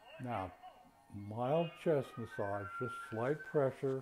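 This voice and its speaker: With music in the background, a man speaks very slowly and with ordinary pitch variation. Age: 80s+. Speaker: qigong and tai chi instructor. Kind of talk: exercise class instruction.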